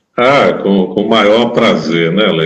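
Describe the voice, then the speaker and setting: In an ordinary speaking voice, a man talks at a fairly slow pace, his pitch fairly low with ordinary variation. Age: 60s. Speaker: condominium manager. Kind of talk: interview.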